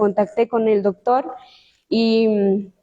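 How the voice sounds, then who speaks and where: A woman speaks very slowly in a Chiapas accent. Her voice is fairly high-pitched with a dark, mellow tone. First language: Tsotsil (speaking Spanish). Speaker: law student. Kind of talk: book presentation talk. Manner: hesitant, many fillers.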